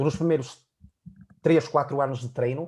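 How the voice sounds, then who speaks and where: A fairly high-pitched man with a European Portuguese accent, a dark, mellow tone, a somewhat breathy quality, and a fairly quick pace. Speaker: fitness coach. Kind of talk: casual chat.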